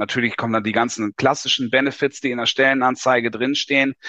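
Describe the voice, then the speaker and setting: Here a man speaks at a medium pitch in a bright, sharp tone. The sound is dry and close with no echo, and the background is quiet. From Lower Saxony, northern Germany. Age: 40s. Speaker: tax advisor. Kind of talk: interview.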